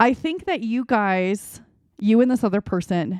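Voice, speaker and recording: In a dry, close recording with no echo and a quiet background, a woman with a dark, mellow tone speaks with ordinary pitch variation. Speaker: tarot reader. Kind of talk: tarot card reading. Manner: halting, many fillers; casual, conversational.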